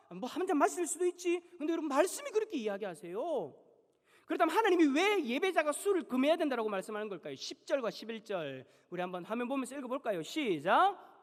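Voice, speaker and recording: At an extremely high pitch, a man races along at a very fast pace with very wide pitch swings. There is noticeable background noise. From Busan, South Korea. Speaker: pastor. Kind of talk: sermon. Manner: animated.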